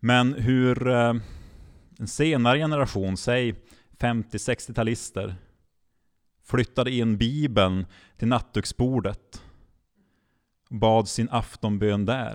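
On a very clean recording with a silent background, a man speaks at a very slow pace with long, frequent pauses, very even loudness and ordinary pitch variation. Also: medium pitch for a man. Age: 30s. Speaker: regional church mission leader. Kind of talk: podcast interview. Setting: live recording in front of an audience. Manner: halting, many repeated words.

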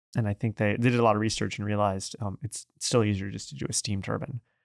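An ordinary speaking voice moves at a fairly quick pace with fairly even intonation, recorded with a dry, close sound, no echo, and a very clean, silent background. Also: man. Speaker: podcast host. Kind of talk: interview.

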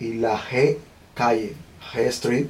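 Somewhat breathy, a man talks at a very slow pace with fairly even intonation. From Cuba, Villa Clara province. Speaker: small business owner. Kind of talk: interview conversation.

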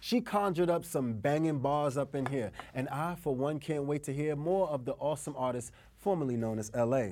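At a fairly quick pace, a man with a fairly high pitch speaks in a dark, mellow tone with ordinary pitch variation. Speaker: podcast host. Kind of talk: casual interview. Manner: upbeat, energetic.

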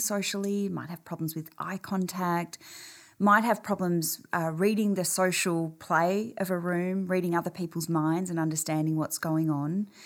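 A woman with an Australian accent speaks in a fairly low voice. The recording is very clean, with a silent background. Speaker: clinical psychology professor and researcher. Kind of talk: interview.

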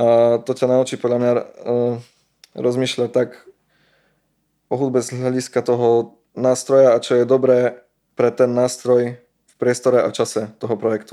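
Using a dark, mellow tone, a man at medium pitch speaks at a fairly slow pace in monotone, flat intonation. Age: 20s. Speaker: musician. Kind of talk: casual interview chat. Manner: halting, repeats words.

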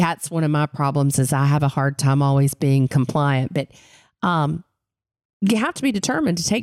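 A woman with a Southern Appalachian accent at a moderate pace, recorded dry and close with no echo. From Western North Carolina mountains. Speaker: podcast co-host. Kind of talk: casual interview chat.

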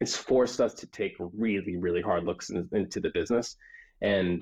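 A man is speaking. He talks at a moderate pace. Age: 30s. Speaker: tech company founder. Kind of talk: interview. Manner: halting.

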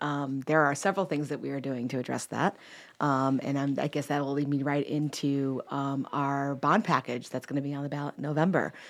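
A woman's very deep, low voice with an American accent and fairly even intonation, on a very clean recording with a silent background. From Chicago. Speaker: school board member and former teacher. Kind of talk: radio interview. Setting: radio studio.

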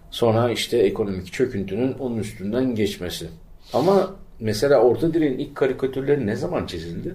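Fairly quick and somewhat breathy, a man speaks in a medium pitch with very wide pitch swings. His tone is dark and mellow. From Turkey, İzmir (Bostanlı). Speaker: podcast co-host. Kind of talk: casual chat.

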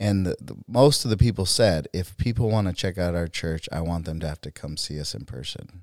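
Over a very clean, silent, dry and close recording with no echo, a man with an American accent and a very deep, low pitch talks at a fairly quick pace with hardly any pauses, lively intonation and big swings in loudness. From US Southwest, Arizona (Phoenix area). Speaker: pastor. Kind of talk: casual interview. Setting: studio.

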